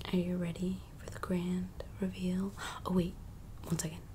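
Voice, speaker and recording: A soft-spoken woman talks in a gentle tone. Light background noise sits behind her. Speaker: vlogger. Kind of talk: casual vlog chat. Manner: soft-spoken, gentle low voice. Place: home room. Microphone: phone near.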